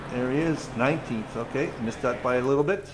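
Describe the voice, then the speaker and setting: A man, with audible room echo and noticeable background noise. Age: 60s. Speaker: sim racing commentator. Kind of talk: live commentary. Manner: animated; halting.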